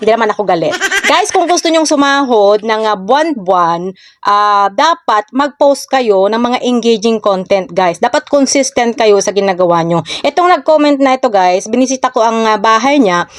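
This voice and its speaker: A woman with an ordinary speaking voice talks at a fairly high pitch and moderate pace, her intonation lively and her loudness very even, the sound dry and close with no echo against a quiet background. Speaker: social media content creator. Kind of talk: casual vlog tips.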